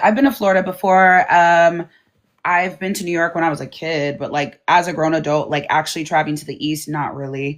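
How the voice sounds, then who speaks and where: A woman with an American accent talks at a fairly quick pace, her pitch fairly low. She has an unremarkable speaking voice, set against a quiet background. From US West Coast. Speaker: livestream host, content creator. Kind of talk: casual livestream chat.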